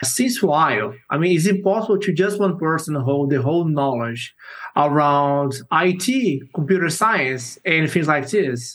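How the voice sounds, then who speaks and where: Here a man with a Portuguese accent talks at a fairly slow pace in a fairly high pitch. His intonation is lively while his loudness stays very even. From Brazil. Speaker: software engineer. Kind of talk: interview. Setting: video call.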